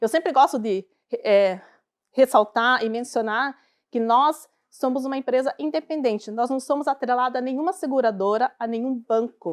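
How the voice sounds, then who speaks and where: A woman with a Curitiba accent speaks at a high pitch and a moderate pace with ordinary pitch variation. The recording is very clean and dry, close with no echo, against a silent background. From southern Brazil, Curitiba. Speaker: financial advisor. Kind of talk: talk to a live audience. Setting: stage with audience.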